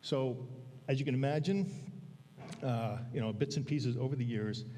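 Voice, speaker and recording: A man speaks fairly slowly at a medium pitch, somewhat breathy, with a dark, mellow tone. His intonation stays fairly even, and room echo is audible. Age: 60s. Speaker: church elder giving a sermon. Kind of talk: sermon. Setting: church pulpit with congregation. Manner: halting, many fillers.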